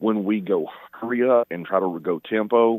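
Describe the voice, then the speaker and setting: This is a man's voice. His pitch sits fairly low. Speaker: caller. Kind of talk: casual chat. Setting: phone call. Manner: halting.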